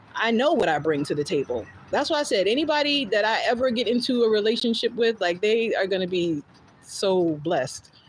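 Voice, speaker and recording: Fairly quick, very evenly loud speech from a woman with an American accent, a fairly high pitch and very wide pitch swings. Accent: New Jersey accent, thick when passionate. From North New Jersey (South Orange, Maplewood, Montclair). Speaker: podcast host, storyteller. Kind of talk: casual live stream chat. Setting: live stream. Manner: fast when passionate; animated.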